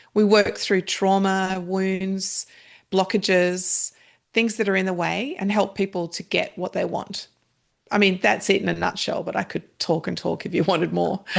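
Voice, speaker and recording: A woman with an Australian accent at medium pitch and moderate pace, intonation monotone and flat, over a quiet background. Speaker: meditation practitioner and author. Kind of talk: podcast interview.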